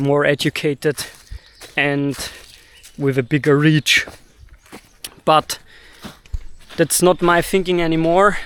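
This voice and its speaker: A man with a fairly high voice and a German accent speaks very slowly in a fairly even tone, stopping often for long pauses. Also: dry, close sound with no echo. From Austria, Vienna. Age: 30s. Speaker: video blogger. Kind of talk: personal monologue. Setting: recording to camera. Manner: halting, pauses to find words.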